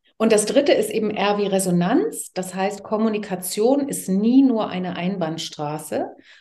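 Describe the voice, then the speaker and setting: A woman's dark, mellow voice at a medium pitch, fairly slow in pace with ordinary pitch variation, in audible room echo. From East Germany, Leipzig. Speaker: TV presenter and communication coach. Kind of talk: casual interview. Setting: garden.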